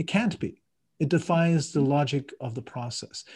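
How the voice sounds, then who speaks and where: The man's voice sits fairly high and is somewhat breathy, with ordinary pitch variation. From Ireland. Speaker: coach and marathon runner. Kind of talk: interview conversation. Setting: video call from France.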